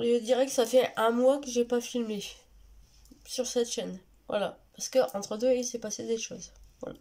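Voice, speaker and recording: A woman's high-pitched, monotone voice with flat intonation, big swings in loudness, a moderate pace, and long, frequent pauses. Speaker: vlogger. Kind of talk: casual vlog talk. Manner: halting, many fillers.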